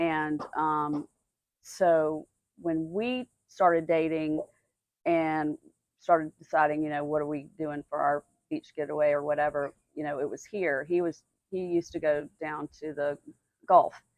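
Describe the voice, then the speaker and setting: A woman with a Southern US accent speaks at a very deep, low pitch, fairly slowly and with long, frequent pauses. Her intonation stays fairly even, and the sound is dry and close with no echo. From Atlanta, Georgia, US South. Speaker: business owner, innkeeper. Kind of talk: casual interview. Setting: outdoors on a dock.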